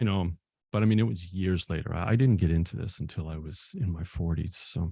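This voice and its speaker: Very deep and low, a man's somewhat breathy voice moves with ordinary pitch variation. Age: 60s. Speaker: filmmaker and novelist. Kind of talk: interview. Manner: halting.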